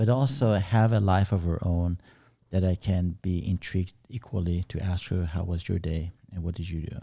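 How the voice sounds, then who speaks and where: On a very clean recording with a silent background, a man speaks with a very deep, low pitch and a dark, mellow tone. His voice is somewhat breathy, at a moderate pace with ordinary pitch variation. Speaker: podcast co-host. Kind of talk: casual podcast conversation.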